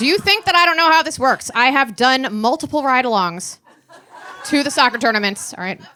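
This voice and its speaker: A woman with an American accent speaks in a raised, projected voice at a high pitch, a fairly quick pace and with very wide pitch swings. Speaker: stand-up comedian. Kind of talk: stand-up. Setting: stage with audience. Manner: fast.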